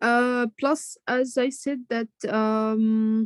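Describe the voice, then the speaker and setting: With an Arabic accent, a woman talks very slowly at a fairly high pitch with ordinary pitch variation, the sound dry and close with no echo. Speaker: student in online leadership program. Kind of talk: feedback in video call class. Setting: video call. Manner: halting, many fillers.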